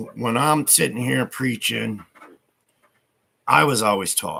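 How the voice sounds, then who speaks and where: A man talks at a fairly slow pace. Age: 60s. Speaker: livestreamer. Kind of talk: casual livestream monologue. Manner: hesitant with fillers.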